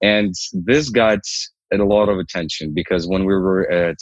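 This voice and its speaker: A dry, close sound with no echo, moderate pace and ordinary pitch variation. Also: man. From Ukraine. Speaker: startup founder. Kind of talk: interview.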